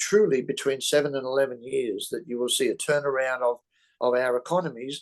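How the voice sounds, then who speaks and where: Over a quiet background, a man with an Australian accent talks with lively intonation. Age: 70s. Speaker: real estate investor. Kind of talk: interview. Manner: halting, many fillers. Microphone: mic problem mentioned.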